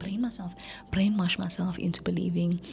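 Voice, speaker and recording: A woman whispers with music playing in the background. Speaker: content creator. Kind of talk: casual vlog talk. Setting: at home at night. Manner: whispering.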